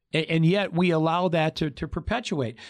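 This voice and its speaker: With an American accent, a man speaks fairly quickly at a fairly high pitch in a plain, everyday voice, recorded very cleanly over a silent background. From Michigan, Detroit area. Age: 50s. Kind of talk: casual panel discussion. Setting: studio.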